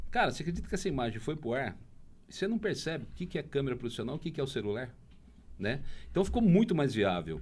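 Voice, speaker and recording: Using vocal fry, a man of medium pitch moves at a fairly quick pace with very wide pitch swings. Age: 60s. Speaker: bar-hunting TV and social media presenter. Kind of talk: podcast interview. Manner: animated.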